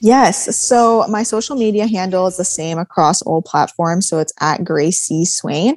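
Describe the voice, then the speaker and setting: With a normal speaking voice at medium pitch, a woman talks at a fairly slow pace with lively intonation and hardly any pauses. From Manitoba, Canada (Swan Lake First Nation). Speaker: business and mindset coach. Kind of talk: interview.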